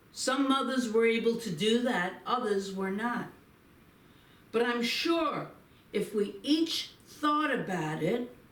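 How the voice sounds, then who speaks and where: A woman speaks very slowly at a fairly high pitch with lively intonation. Noticeable background noise and audible room echo fill the recording. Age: 70s. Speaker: minister. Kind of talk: inspirational talk with guided reflection. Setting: Facebook live stream.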